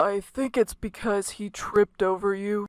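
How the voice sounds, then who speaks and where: Using a put-on character voice, a woman talks at a moderate pace and a medium pitch. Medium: read story.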